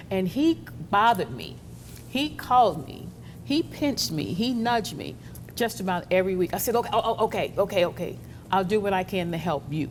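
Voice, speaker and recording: A woman speaks at a medium pitch and a fairly quick pace, with very wide pitch swings and vocal fry. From New Orleans, Louisiana. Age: 70s. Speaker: radio talk show host. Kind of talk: interview, casual chat.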